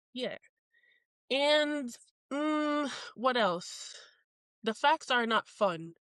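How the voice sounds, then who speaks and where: A woman with a high voice and lively intonation speaks at a very slow pace with long, frequent pauses, in a dry, close sound with no echo over a quiet background. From Jamaica. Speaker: podcast co-host, military service member. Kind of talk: casual chat.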